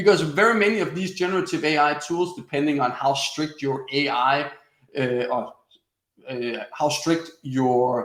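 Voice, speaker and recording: A man speaks at a fairly slow pace with a Danish accent. His pitch is fairly high, with ordinary variation. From Denmark. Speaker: webinar presenter, former sales coach. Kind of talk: webinar tutorial. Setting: online webinar broadcast.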